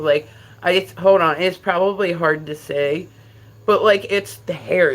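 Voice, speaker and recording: An animated tone comes through in a New Jersey accent at a fairly slow pace. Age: 50s. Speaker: livestreamer. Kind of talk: casual chat. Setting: livestream.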